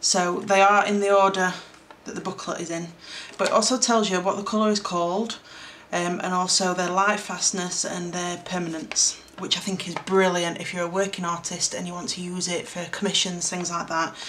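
A woman's fairly bright tone with little pitch movement and audible room echo. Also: fairly low pitch for a woman, moderate pace.

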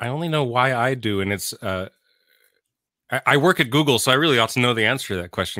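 In a dry sound with no echo and a quiet background, a man talks at a very fast pace with a bright, sharp tone and lively intonation. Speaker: tech manager and songwriter. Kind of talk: interview. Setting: remote call. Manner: thoughtful, halting. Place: home room. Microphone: studio mic.

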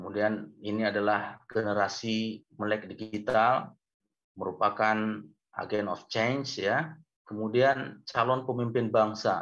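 A man at a very slow pace, fairly low in pitch, with fairly even intonation and a quiet background. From Medan, North Sumatra; North Sumatra, Indonesia. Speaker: university lecturer. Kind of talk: webinar lecture. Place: home room. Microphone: video call.

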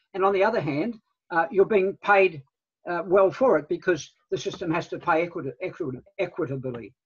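Over a quiet background, a man with a New Zealand accent talks at a high pitch with ordinary pitch variation. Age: 70s. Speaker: guest. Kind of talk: presentation. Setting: video call. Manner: halting. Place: home room. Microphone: video call.

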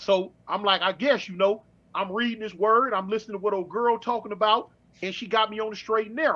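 A man's raised, projected voice, high in pitch and bright and sharp in tone, at a fairly quick pace with fairly even intonation. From Los Angeles. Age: 50s. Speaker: former prison inmate; guest. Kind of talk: interview storytelling. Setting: online livestream. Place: home room. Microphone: webcam.

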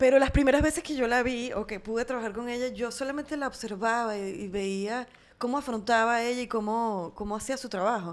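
Fairly high in pitch, a woman speaks at a fairly quick pace with hardly any pauses. Her pitch variation is ordinary. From Venezuela. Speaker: actress and singer; actress. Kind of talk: casual chat. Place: home room. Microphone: studio mic.

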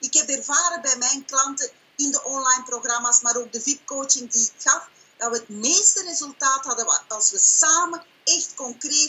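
Here a woman speaks at a high pitch. She keeps a moderate pace. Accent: Flemish. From Belgium (Flanders). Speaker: online business owner and coach. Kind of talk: sales pitch and interview answers. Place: home room. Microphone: webcam.

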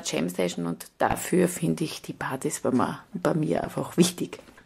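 Noticeable background noise behind a woman's voice. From Styria, Austria. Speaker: cabaret artist. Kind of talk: interview answer.

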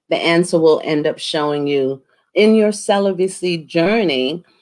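A woman with a fairly low pitch speaks at a fairly slow pace with lively intonation against a quiet background. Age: 50s. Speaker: talk show host. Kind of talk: interview. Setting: video call. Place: home room. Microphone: webcam.

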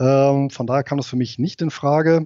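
With ordinary pitch variation and a medium pitch, a man talks in an ordinary speaking voice. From Rhineland, Germany. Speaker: investor and IT company manager, ex-soldier. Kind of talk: interview.

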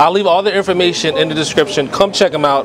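A man speaks over noticeable background noise. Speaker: food vlogger. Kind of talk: casual vlog chat. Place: cafe. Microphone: phone near.

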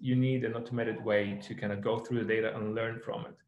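A man speaks with vocal fry at a moderate pace and fairly even intonation. The background is quiet, but the room echo is audible. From Ukraine. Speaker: tech startup founder and geologist. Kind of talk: webinar presentation.

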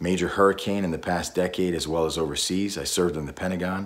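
Speaking at a fairly quick pace, a man with a very deep, low voice keeps his intonation fairly even. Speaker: voice actor; war veteran. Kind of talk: casual talk to camera. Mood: earnest, friendly, a bit playful. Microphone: phone near.

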